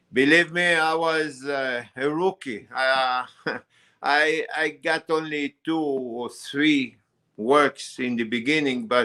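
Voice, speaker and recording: Speaking very slowly with a non-native accent, a man uses a fairly high pitch, ordinary pitch variation and a bright, sharp tone. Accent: foreign. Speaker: wood carver and carving teacher. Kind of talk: casual interview. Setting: on-site visit, filmed live. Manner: halting, many fillers and repetitions.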